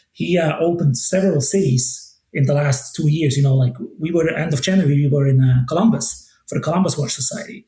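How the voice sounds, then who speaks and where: A man's dark, mellow tone, somewhat breathy and fairly high in pitch, at a very fast pace. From Switzerland. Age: 40s. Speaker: watch brand ambassador. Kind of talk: podcast interview. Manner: casual, many fillers and restarts.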